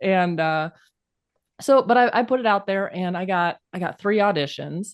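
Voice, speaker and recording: Against a quiet background, a woman with a plain, everyday voice speaks at a moderate pace with ordinary pitch variation. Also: medium pitch for a woman. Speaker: author, co-host. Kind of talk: casual conversation.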